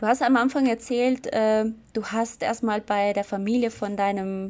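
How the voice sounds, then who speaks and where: At a very slow pace, a woman with a non-native accent speaks in a medium pitch with fairly even intonation. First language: not German (speaking German). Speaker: podcast host, sociology student. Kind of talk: interview.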